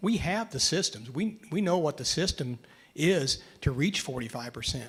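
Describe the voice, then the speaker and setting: A man's somewhat breathy voice with an American accent and lively intonation. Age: 70s. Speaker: agronomist, panelist. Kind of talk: panel discussion. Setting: conference stage with audience.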